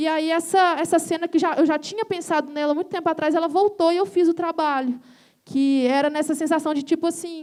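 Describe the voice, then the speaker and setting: Fairly even intonation at a fairly quick pace. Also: woman, extremely high pitch for a woman. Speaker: visual artist and musician. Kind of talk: panel talk presenting own work. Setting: stage with audience.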